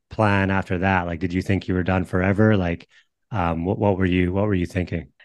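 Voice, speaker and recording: A man with a very deep, low pitch at a fairly quick pace. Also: quiet background. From northern British Columbia, Canada. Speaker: podcast host and baseball trainer. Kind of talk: casual interview.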